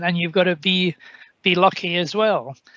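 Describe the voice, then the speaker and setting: Monotone, flat intonation at a moderate pace. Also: man. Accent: Scottish. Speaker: senior politician. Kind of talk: panel discussion remarks.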